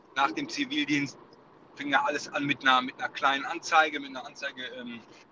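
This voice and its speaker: At a moderate pace, a man talks with ordinary pitch variation over noticeable background noise. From Ruhr area, Germany. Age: 30s. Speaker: wedding photographer. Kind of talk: casual chat. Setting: phone call from car.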